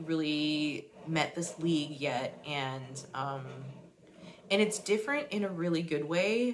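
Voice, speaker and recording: Through noticeable background noise and audible room echo comes a woman's very deep, low pitch with ordinary pitch variation. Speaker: artist and roller derby vlogger. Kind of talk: vlog monologue. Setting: bathroom at night. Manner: hesitant, many fillers; soft-spoken, low. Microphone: too quiet, barely audible.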